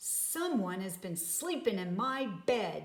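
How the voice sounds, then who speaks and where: A woman puts on a growling character voice at a medium pitch. She speaks at a fairly slow pace. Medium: read story.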